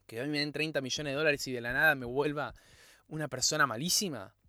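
A man's animated, fairly high voice with a bright, sharp tone at a moderate pace. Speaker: podcast host. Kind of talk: solo motivational podcast monologue.

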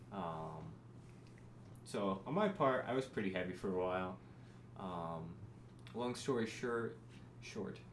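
A man's very deep, low voice with very wide pitch swings, a fairly slow pace, long, frequent pauses and audible room echo. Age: 20s. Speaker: podcast co-host. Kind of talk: casual chat.

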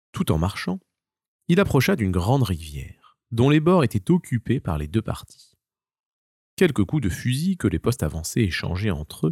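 A man's fairly low voice at a moderate pace, with a slightly husky edge, a slightly mellow tone and big pitch swings, in a dry, close sound with no echo on a very clean recording with a silent background

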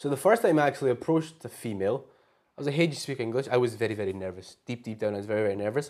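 Talking very fast in a Glaswegian accent, a man keeps a medium pitch and ordinary pitch variation. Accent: Glaswegian Scottish. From Scotland, Glasgow. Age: 20s. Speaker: language exchange speaker. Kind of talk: casual interview chat.

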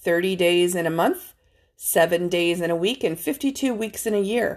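On a very clean recording with a silent background, a woman with an unremarkable speaking voice talks at a fairly slow pace and medium pitch, with ordinary pitch variation. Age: 40s. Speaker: pastor. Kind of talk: sermon.

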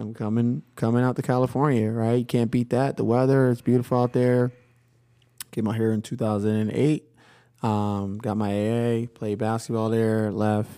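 In an American accent, a man talks at a moderate pace and medium pitch. His tone is dark and mellow, and his intonation stays fairly even. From Philadelphia. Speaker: high school basketball coach. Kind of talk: casual chat. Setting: studio.

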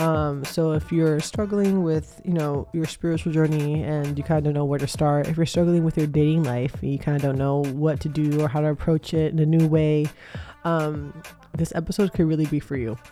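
Over background music, a woman speaks at a fairly quick pace with a very deep, low pitch and fairly even intonation. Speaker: podcast host. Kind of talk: casual monologue. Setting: at home. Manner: casual, many fillers.

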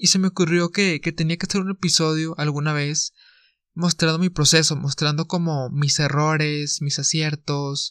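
In a Mexican accent, a man talks at a moderate pace with a fairly high pitch and monotone, flat intonation. The recording is very clean with a silent background and a dry, close sound with no echo. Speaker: podcast host. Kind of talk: solo podcast monologue. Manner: casual.

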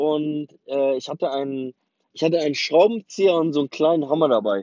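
A man with a fairly high pitch and a non-native accent. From West Berlin, Germany. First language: not German (speaking German). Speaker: memoir narrator. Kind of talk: autobiographical storytelling. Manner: casual with many hesitations.

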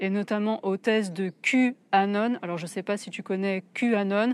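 A woman with a fairly high pitch and a plain, everyday voice. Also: dry, close sound with no echo. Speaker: wellness podcaster and YouTuber. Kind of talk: solo video commentary. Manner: casual, direct address.

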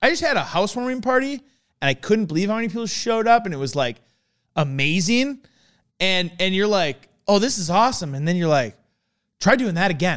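On a very clean recording with a silent background, a man speaks in a high pitch and animated tone at a fairly quick pace, with very wide pitch swings and long, frequent pauses. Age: 30s. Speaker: car enthusiast. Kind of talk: casual chat.

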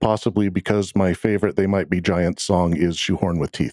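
Dry and close with no echo, a man's voice is heard. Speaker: podcast host. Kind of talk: casual chat.

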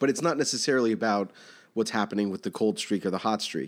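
In a very clean recording with a silent background, a man speaks in a normal speaking voice at a fairly quick pace. His fairly low pitch carries lively intonation. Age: 30s. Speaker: bank recruiter, guest co-host. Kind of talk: casual chat.

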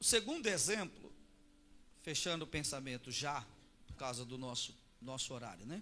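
Over audible room echo, a man with a bright, sharp tone and medium pitch uses lively intonation at a moderate pace, leaving long, frequent pauses. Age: 40s. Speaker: pastor. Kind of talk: sermon.

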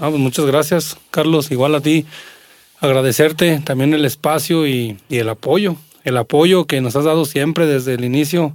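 A man speaks in a normal speaking voice, fairly high in pitch, at a moderate pace with fairly even intonation. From Mexico, Aguascalientes (Jesús María). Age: 40s. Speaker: singer and accordionist. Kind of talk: casual chat.

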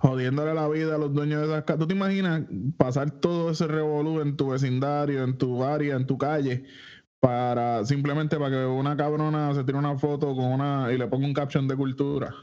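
A man with a Puerto Rican accent speaks fairly quickly in a dark, mellow tone, fairly high-pitched, with monotone, flat intonation. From Puerto Rico, Isabela. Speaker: podcast host. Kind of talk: casual chat.

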